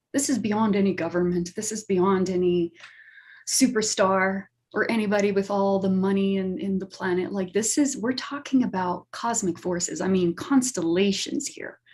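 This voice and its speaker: Her voice somewhat breathy, a woman speaks moderately fast with ordinary pitch variation. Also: medium pitch for a woman. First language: not English. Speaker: astrologer. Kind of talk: talk show explanation.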